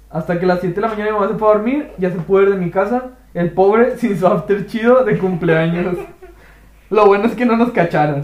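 Speaking at a very fast pace with ordinary pitch variation, the voice comes through over noticeable background noise. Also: man, high pitch for a man. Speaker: podcast host. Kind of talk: casual chat.

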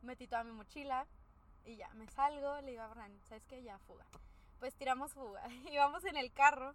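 A woman speaks at a high pitch and moderate pace, with ordinary pitch variation and big swings in loudness. Noticeable background noise is present. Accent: Mexican. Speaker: podcast co-host. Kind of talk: casual chat.

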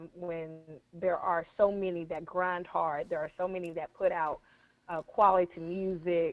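A woman's fairly low voice, passionate in tone yet monotone and flat in intonation, at a fairly slow pace. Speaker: gospel artist. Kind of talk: call-in radio discussion. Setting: phone call.

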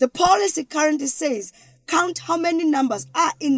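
This woman speaks with a South African accent. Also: dry, close sound with no echo. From South Africa, Eastern Cape. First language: isiXhosa. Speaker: educational strategist. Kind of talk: interview.

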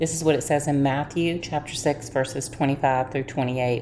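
Over noticeable background noise, a woman with a very deep, low pitch speaks in a warm, gentle tone with monotone, flat intonation. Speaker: devotional host. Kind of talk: fervent prayer, earnest and heartfelt, addressing God directly; devotional talk with scripture reading. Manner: earnest, warm and fervent, gentle devotional delivery; calm, reassuring and encouraging.

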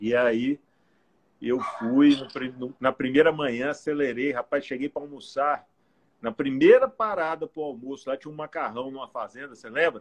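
A man with an unremarkable speaking voice talks at a moderate pace and fairly high pitch, his intonation fairly even but his loudness swinging widely, in a dry, close sound with no echo. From Goiás, Brazil (Goiânia area). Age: 40s. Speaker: cyclist and businessman, former politician. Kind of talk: casual interview on a live stream.

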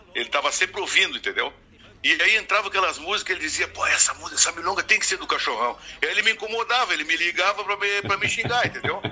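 Over noticeable background noise, a man with a southern Brazilian accent talks at a very fast pace with a high pitch and ordinary pitch variation. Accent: gaúcho Brazilian Portuguese. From Uruguaiana, Rio Grande do Sul, Brazil. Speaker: singer-songwriter. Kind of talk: casual interview.

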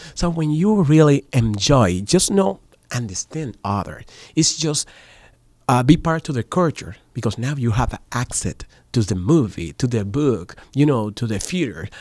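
With a Spanish accent, a man speaks at a fairly slow pace at medium pitch, his voice making very wide pitch swings. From Dominican Republic. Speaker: voice actor and media professional. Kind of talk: radio interview. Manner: halting.

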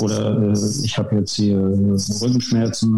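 With audible room echo around him, a man talks at a fairly low pitch in a monotone, flat intonation. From northern Germany, Wismar (former GDR). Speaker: naturopath and osteopath. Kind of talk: podcast interview.

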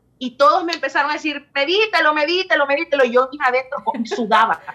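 A woman's high-pitched voice is raised and projected, with ordinary pitch variation. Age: 20s. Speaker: bachata singer. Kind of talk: casual chat. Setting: studio.

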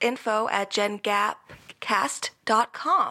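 Over noticeable background noise, a woman talks at fairly high pitch with fairly even intonation. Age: 20s. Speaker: podcast co-host, daughter. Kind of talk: casual chat.

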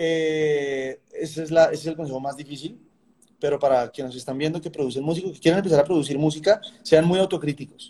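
At a fairly quick pace, a man speaks with a fairly high pitch and a dark, mellow tone. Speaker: songwriter and music producer. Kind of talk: interview conversation.

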